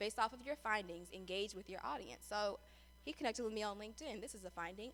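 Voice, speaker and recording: Talking at a very fast pace, a woman with a fairly high pitch uses lively intonation. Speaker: public affairs specialist teaching a workshop. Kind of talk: lecture.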